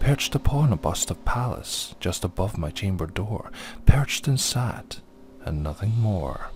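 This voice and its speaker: This man talks fairly slowly with very wide pitch swings while music plays in the background. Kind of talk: poetry reading.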